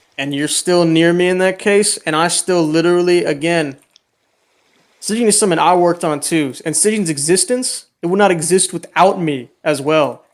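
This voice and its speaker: A man speaks loudly at a high pitch with ordinary pitch variation. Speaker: roleplay game server owner. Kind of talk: heated argument. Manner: animated.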